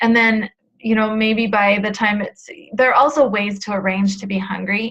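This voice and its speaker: A woman's medium-pitched, normal speaking voice at a fairly slow pace, with fairly even intonation. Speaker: weight loss coach. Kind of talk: webinar coaching talk. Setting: live webinar.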